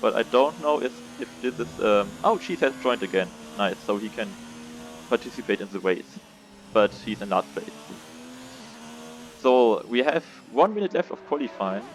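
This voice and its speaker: Noticeable background noise accompanies a man whose pitch swings very widely, with long, frequent pauses. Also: medium pitch for a man, moderate pace. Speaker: sim racing league commentator. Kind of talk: live commentary. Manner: halting, many fillers. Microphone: poor audio quality.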